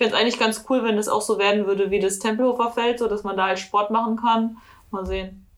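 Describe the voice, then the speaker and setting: In a fairly high pitch, a woman speaks very fast with a monotone, flat intonation. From Germany, NRW (Ruhr area). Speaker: police officer, co-host. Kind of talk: casual chat.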